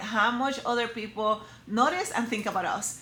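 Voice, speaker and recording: A woman with a Spanish accent speaks in an energetic tone at a moderate pace with ordinary pitch variation, against noticeable background noise. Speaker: personal brand coach for women. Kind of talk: motivational talk to camera. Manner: energetic, direct.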